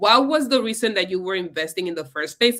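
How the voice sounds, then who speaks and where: Her tone bright and sharp, a woman with a Spanish accent speaks with lively intonation. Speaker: investing educator. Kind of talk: live stream conversation. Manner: casual, with hesitations and restarts.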